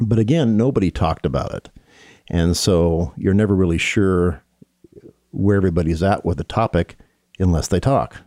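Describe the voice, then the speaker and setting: A man's very deep, low voice with a dark, mellow tone, ordinary pitch variation and an American accent, at a moderate pace, in a dry, close sound with no echo. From Seattle, US Pacific Northwest. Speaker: police officer. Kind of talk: interview.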